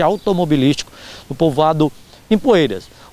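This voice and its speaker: This is a man talking in a normal speaking voice. He keeps a moderate pace. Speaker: local TV reporter. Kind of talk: news reading, stand-up report. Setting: local TV broadcast. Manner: direct, friendly address to viewers.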